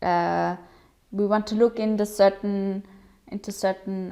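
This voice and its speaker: A woman's medium-pitched voice with a German accent, dark and mellow in tone, fairly slow, with fairly even intonation. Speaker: digital policy program organizer. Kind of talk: presentation. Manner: hesitant with fillers.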